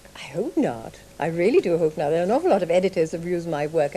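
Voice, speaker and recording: Here a woman talks at a very fast pace. Her pitch is fairly low. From Sri Lanka, Malaysia and England. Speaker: writer and artists' model. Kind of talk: radio interview.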